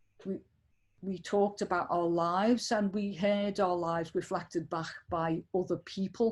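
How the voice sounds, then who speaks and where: A woman with a northern English accent speaks at medium pitch, her intonation fairly even. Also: moderate pace, very clean recording, silent background. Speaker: activist and researcher. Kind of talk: interview conversation. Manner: halting, many repetitions.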